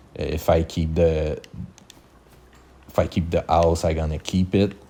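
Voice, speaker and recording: A man speaks in a Quebec accent at a very deep, low pitch. His tone is dark and mellow, his intonation monotone and flat. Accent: Québécois French accent in English. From Quebec, Canada. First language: French. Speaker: gaming YouTuber. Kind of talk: game tutorial. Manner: halting, with many fillers and restarts.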